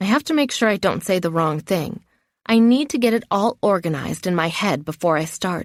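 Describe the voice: Someone does plain reading aloud with lively intonation, over a quiet background.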